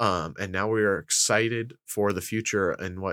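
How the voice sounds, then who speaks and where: A man with an Upper Midwest US accent speaks at a moderate pace in a bright, sharp tone, in a very clean recording with a silent background. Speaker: economic development specialist, podcast co-host. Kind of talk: casual chat.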